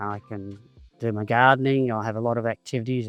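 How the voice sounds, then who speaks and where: A man with an Australian accent talks at a moderate pace and medium pitch, with ordinary pitch variation and music in the background. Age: 70s. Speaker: cystic fibrosis patient. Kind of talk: personal testimony.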